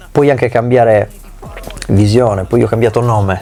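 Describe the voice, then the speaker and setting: At a moderate pace, a man speaks at a medium pitch against noticeable background noise. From Sardinia, Italy. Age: 40s. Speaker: musician and rapper. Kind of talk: interview. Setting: recording studio. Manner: animated.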